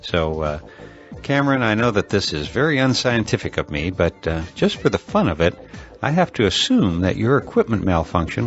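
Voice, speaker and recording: Music plays in the background as a man with a fairly low pitch speaks at a moderate pace. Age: 60s. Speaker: podcast host. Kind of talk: podcast monologue. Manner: hesitant, many filler uh's; playful.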